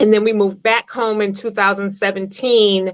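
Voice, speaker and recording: Against a quiet background, a woman with a Massachusetts accent speaks at a medium pitch and a moderate pace. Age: 50s. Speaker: poet and author. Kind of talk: interview. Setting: live stream interview.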